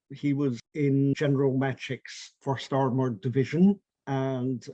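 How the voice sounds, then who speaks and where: In a Scottish accent, a man speaks at a fairly slow pace with a medium pitch, flat monotone intonation and a dark, mellow tone, the sound dry and close with no echo. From Scotland, St Andrews in Fife. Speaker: artist. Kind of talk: interview, personal memories.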